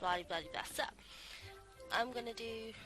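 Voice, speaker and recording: Lively intonation from a woman, with music in the background. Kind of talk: casual let's play commentary.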